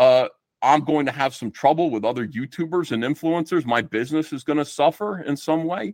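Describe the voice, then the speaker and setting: A man with a New Jersey accent speaks at a fairly quick pace with ordinary pitch variation, in a very clean, dry, close recording with no echo and a silent background. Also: fairly high pitch for a man. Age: 50s. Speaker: comic book artist. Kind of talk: casual chat.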